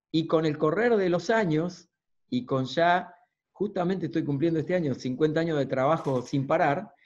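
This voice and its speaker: This man's voice sits at a fairly high pitch, with ordinary pitch variation, very even loudness and a moderate pace. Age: 50s. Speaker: motivational speaker and coach; coach giving a talk. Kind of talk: lecture. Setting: video call. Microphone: video call.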